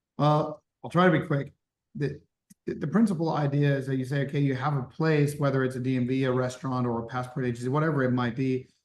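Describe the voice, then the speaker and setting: A man's somewhat breathy voice stays at a fairly high pitch with fairly even intonation. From Germany. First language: German. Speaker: startup founder. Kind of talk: interview.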